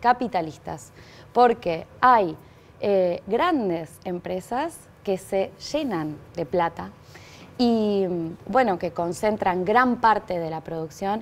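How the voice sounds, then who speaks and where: Lively intonation at a very slow pace. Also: woman. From Argentina. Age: 30s. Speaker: political candidate; candidate. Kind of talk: TV interview. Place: studio. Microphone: lapel.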